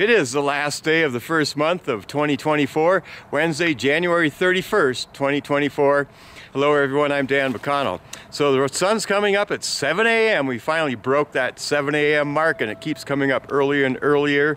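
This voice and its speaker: A man talks at a moderate pace with ordinary pitch variation, and the sound is dry with no echo. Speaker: local news vlogger. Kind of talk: casual vlog news report. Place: open country. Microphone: phone near.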